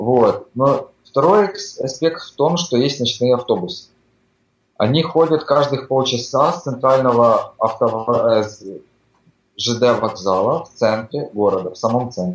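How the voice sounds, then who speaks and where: A man speaks very slowly at a medium pitch, somewhat breathy, with lively intonation, big swings in loudness and long, frequent pauses. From Ukraine. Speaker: migrant construction worker. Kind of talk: casual interview chat. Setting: Skype call.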